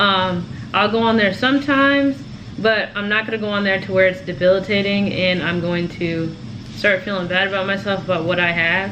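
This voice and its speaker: A woman talks at a fairly quick pace and a medium pitch with ordinary pitch variation, with noticeable background noise and audible room echo. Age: 20s. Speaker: lifestyle vlogger. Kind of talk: casual chat. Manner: fast; animated.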